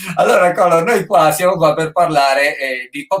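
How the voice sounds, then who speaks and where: The speaker is a man. He talks at a moderate pace. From Friuli, northeast Italy. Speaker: online show host. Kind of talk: casual interview chat. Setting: livestream on Instagram and Facebook.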